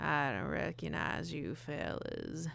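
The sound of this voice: Over noticeable background noise, a raspy put-on character voice moves at a fairly slow pace.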